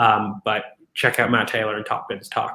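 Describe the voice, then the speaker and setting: This man talks at a very fast pace. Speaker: football podcast host. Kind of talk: tactical match analysis.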